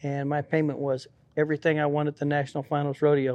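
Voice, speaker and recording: Listen to a man with a rural western US accent. His pitch is fairly high. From Colorado, US. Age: 60s. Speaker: rodeo cowboy. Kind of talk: casual interview.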